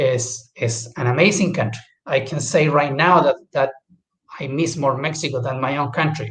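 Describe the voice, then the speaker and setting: A man talks in a somewhat breathy voice, his fairly high pitch paired with fairly even intonation. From Chile. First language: Spanish. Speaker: guest speaker. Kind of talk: casual talk. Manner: halting.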